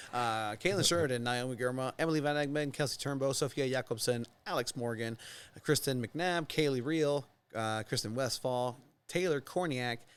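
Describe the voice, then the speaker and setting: The recording is very clean, with a silent background. A man of medium pitch speaks at a moderate pace with ordinary pitch variation. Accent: Mexican. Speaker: soccer podcast host. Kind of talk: casual chat. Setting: studio.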